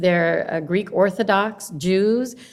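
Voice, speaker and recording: A woman with a Spanish accent talks at a fairly slow pace in a medium pitch with ordinary pitch variation. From Honduras, raised in Carson, California. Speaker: longshore worker and educator, political candidate. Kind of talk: casual interview chat.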